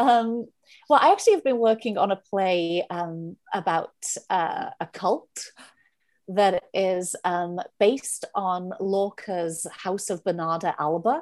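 A woman's medium-pitched voice in a Welsh accent, very slow, with ordinary pitch variation, against a quiet background. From Wales. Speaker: playwright and director. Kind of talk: casual interview.

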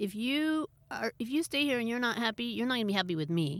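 Very fast and with very wide pitch swings, a woman speaks in an American accent on a very clean recording with a silent background. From Berkeley, California. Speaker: yoga teacher. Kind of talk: casual chat. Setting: in a parked van.

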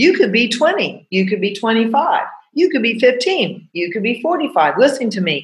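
A woman speaks at a fairly slow pace with a fairly high pitch. Her voice makes very wide pitch swings. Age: 60s. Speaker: podcast host and coach. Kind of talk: casual monologue. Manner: animated.

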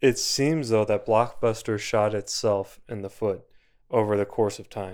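Recorded very cleanly against a silent background, a man with a plain, everyday voice speaks fairly slowly at a fairly low pitch, with fairly even intonation and big swings in loudness. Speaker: podcast host. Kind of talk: casual chat.

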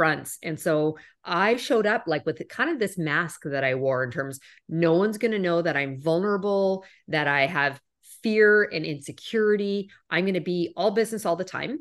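With a Canadian accent and a plain, everyday voice, a woman speaks at a fairly low pitch with lively intonation against a quiet background. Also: moderate pace. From Canada. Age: 40s. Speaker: corporate executive. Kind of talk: interview.

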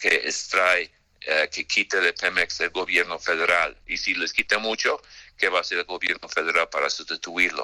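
A man with an American accent speaks at a moderate pace in a very deep, low voice with a bright, sharp tone. His intonation is monotone and flat, and the sound is dry and close with no echo. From United States. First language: English (speaking Spanish). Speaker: credit rating analyst. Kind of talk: radio interview. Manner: halting, many fillers.

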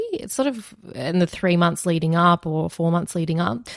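A woman with an Australian accent speaks at a fairly low pitch on a very clean recording with a silent background. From Australia, Wagga Wagga NSW. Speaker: veterinary nurse and former lawyer. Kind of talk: interview about personal hardship.

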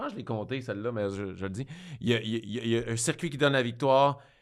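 A man at medium pitch with a Quebec accent and ordinary pitch variation, in a very clean recording over a silent background. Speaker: podcast host and comedian. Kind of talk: casual chat. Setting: studio.

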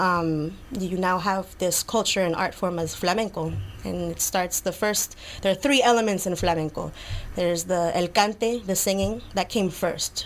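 Here a woman has an unremarkable speaking voice. She talks at a moderate pace with ordinary pitch variation. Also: medium pitch for a woman. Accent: American. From New York City, Lower East Side. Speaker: flamenco dancer. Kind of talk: casual interview. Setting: studio.

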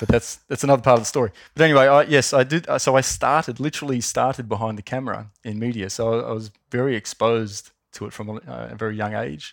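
Very fast speech with an Australian accent and ordinary pitch variation comes through on a very clean recording with a silent background. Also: man. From Australia, Wollongong. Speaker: marketing executive. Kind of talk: interview.

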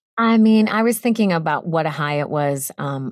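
A woman speaks with an American accent and lively intonation. The recording is very clean with a silent background. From US Northeast, Boston. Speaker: voice actor. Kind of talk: interview.

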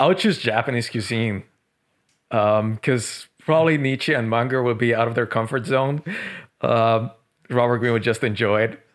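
A man speaks with ordinary pitch variation and very even loudness on a very clean recording with a silent background. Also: medium pitch for a man, moderate pace. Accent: Spanish. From Colombia, Medellin. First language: Spanish. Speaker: author. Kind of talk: podcast interview.

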